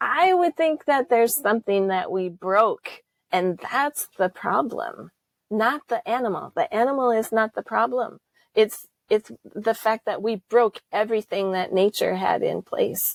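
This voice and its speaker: With an American accent and an ordinary speaking voice, a woman talks at a fairly slow pace with a fairly high pitch and lively intonation, the sound dry and close with no echo. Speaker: holistic management trainer. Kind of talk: interview.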